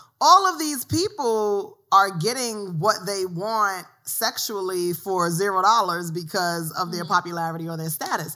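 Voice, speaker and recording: A woman speaks with a New York accent, ordinary pitch variation and hardly any pauses. The recording is very clean, with a silent background. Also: medium pitch for a woman, fairly slow pace. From New York City, South Bronx. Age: 30s. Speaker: author and blogger. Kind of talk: casual chat.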